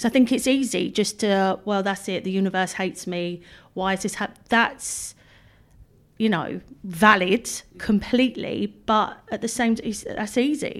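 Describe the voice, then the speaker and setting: A woman with an English accent at medium pitch, moderate pace and ordinary pitch variation, in a very clean recording with a silent background. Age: 40s. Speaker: blogger. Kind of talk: interview. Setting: in person, room with a window.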